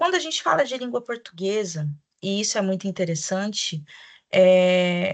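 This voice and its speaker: Against a quiet background, a woman speaks at a medium pitch and a fairly slow pace. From Brazil, Mato Grosso do Sul (Campo Grande). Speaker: teacher trainer, Portuguese teacher. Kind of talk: online training presentation for teachers. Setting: recorded video presentation.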